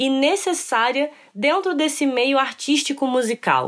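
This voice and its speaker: Her voice is high-pitched, and this woman's intonation is lively. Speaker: podcast host. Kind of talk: scripted narration and interview.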